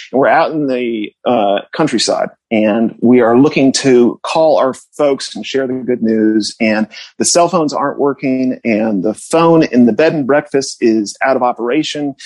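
In an American accent, this is an unremarkable speaking voice with ordinary pitch variation. The fairly slow pace has hardly any pauses, in a dry, close sound with no echo. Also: man, medium pitch for a man. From Connecticut suburbs. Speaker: writer. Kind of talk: casual chat. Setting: studio.

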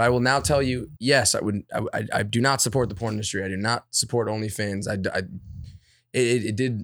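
The very clean recording, silent in the background, carries speech at a fairly quick pace with fairly even intonation. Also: man, medium pitch for a man. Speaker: YouTuber. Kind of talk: casual chat. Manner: goofy.

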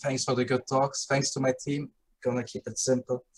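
A man of medium pitch talks at a fairly quick pace and sounds somewhat breathy. The sound is dry and close, with no echo. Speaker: guest, StarCraft player. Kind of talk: casual group discussion about a video game. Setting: video call.

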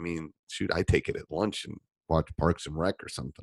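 Vocal fry runs through a man's fairly quick speech, recorded with a dry, close sound and no echo. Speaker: basketball coach and podcast host. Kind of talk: casual podcast talk answering listener questions. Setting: studio. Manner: casual with many filler words.

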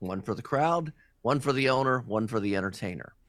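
With an ordinary speaking voice, a man talks at a moderate pace and medium pitch, his intonation lively. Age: 60s. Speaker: strip club DJ. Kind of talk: casual interview.

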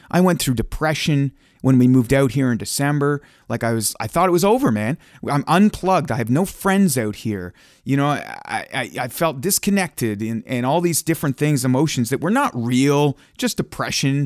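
A man with a Canadian accent has a normal speaking voice at a fairly high pitch, with lively intonation and a moderate pace. The recording is very clean with a silent background, and the sound is dry and close with no echo. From Ontario, Canada. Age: 30s. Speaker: radio broadcaster and stand-up comedian. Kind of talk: casual chat. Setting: home studio.

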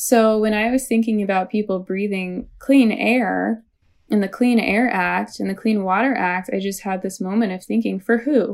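Speaking at a moderate pace in an American accent, a woman keeps a medium pitch and fairly even intonation on a very clean recording with a silent background. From US Midwest, St. Louis, Missouri. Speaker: environmental activist and writer. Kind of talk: interview.

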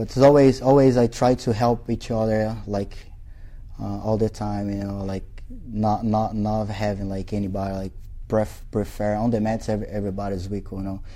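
A man with a Portuguese accent speaks at a moderate pace in a fairly low, dark and mellow voice with monotone, flat intonation. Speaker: jiu-jitsu instructor. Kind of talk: interview. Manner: halting, frequent repetitions and fillers.

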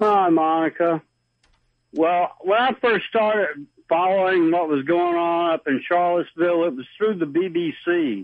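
With a Southern US accent, a man speaks at a fairly slow pace in a high pitch with ordinary pitch variation. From US South. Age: 60s. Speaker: caller. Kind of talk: call-in talk radio. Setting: phone call.

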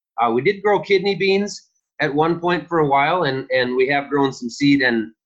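Lively intonation marks this man's speech in a Minnesotan accent. He talks at a fairly high pitch and a moderate pace. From Minnesota, west central. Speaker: farmer. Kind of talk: interview.

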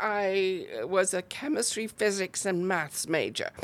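At a fairly slow pace, a woman talks at medium pitch in a very clean recording with a silent background. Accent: British. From northern England, near Chester. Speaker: arts organizer. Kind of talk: casual interview.

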